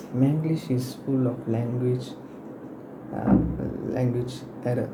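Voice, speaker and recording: Amid noticeable background noise and audible room echo, a man at medium pitch talks at a fairly slow pace. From Malaysia. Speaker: university student. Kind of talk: class presentation. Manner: halting, with many fillers.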